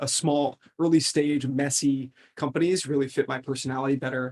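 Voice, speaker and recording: In an American accent, the speaker goes at a fairly quick pace with fairly even intonation, the sound dry and close with no echo. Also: man. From US, upstate New York. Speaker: venture capital investor. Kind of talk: interview. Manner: halting, many fillers and restarts.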